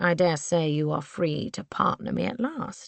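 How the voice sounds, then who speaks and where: This is a put-on character voice that sounds female. It sits at a middle pitch and moves at a moderate pace. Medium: read story. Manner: smooth, insistent.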